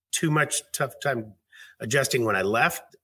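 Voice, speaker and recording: Someone with an American accent speaks at a fairly slow pace in a bright, sharp tone with ordinary pitch variation. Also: man. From US Pacific Northwest, Seattle area. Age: 50s. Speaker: fitness director, author, Marine veteran. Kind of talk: interview. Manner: hesitant, with many fillers.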